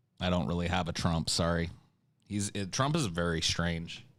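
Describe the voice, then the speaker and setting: Over a silent background in a very clean recording, a man talks at a fairly slow pace with a very deep, low pitch. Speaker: streamer taking voice requests.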